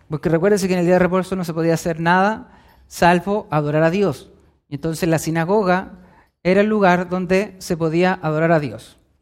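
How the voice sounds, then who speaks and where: At a fairly quick pace and high pitch, a man speaks with fairly even intonation on a very clean recording with a silent background. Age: 20s. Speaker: preacher. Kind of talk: sermon.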